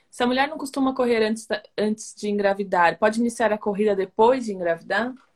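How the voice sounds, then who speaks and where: Speech in a Brazilian accent moves at a fairly quick pace with hardly any pauses. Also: woman, fairly high pitch for a woman, ordinary pitch variation. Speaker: communications officer hosting interview. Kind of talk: interview.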